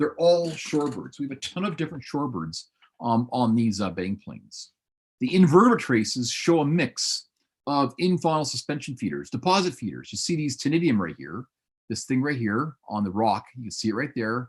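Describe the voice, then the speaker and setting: Speaking fairly quickly at a medium pitch, a man uses lively intonation with some vocal fry. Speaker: paleontology professor. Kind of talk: lecture. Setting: webinar video call. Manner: fast; animated.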